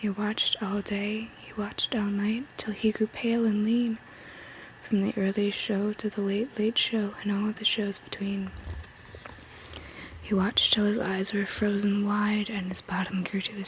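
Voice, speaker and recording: Someone whispers, soft-spoken, at a fairly slow pace. Noticeable background noise runs underneath. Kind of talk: ASMR bedtime poetry reading. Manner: soft-spoken, whispery.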